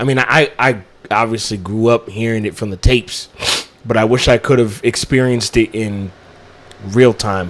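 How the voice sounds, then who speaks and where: A normal speaking voice is heard here. It keeps a moderate pace and fairly even intonation. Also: man, medium pitch for a man. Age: 20s. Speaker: podcast co-host. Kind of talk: casual chat.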